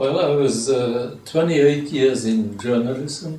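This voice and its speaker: The man speaks at a very slow pace. Room echo can be heard. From Luxembourg. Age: 80s+. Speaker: retired journalist. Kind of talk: interview. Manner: hesitant.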